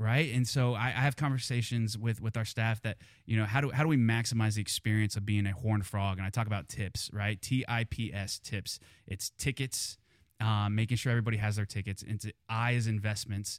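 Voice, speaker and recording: Fairly quick speech with fairly even intonation comes through dry and close with no echo, in a very clean recording with a silent background. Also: man, medium pitch for a man. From Kansas. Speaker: university athletics fundraiser. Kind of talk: casual interview. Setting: studio. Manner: halting, many repeated words.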